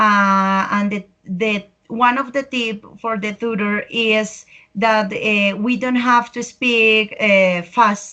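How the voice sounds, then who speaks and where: Against a quiet background, a woman talks at a very slow pace with a fairly high pitch, fairly even intonation and a bright, sharp tone. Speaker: English language student. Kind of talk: online class discussion.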